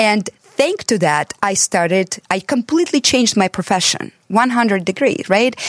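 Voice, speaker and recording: A woman with an American accent talks in a fairly high voice at a fairly slow pace, using lively intonation with hardly any pauses and very even loudness. The sound is dry and close with no echo, and she has an unremarkable speaking voice. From abroad, came to the US as an adult. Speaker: transformational coach and author. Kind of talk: casual chat.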